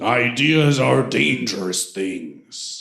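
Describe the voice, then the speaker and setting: Putting on a character voice, a man sounds raspy, booming and resonant at a medium pitch, with slight echo. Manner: intimidating.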